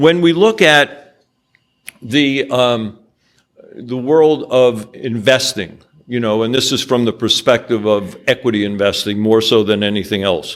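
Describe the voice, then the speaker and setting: This man has an unremarkable speaking voice with an American accent, a medium pitch, ordinary pitch variation and a fairly slow pace. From New York. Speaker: angel investor. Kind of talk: business presentation with slides.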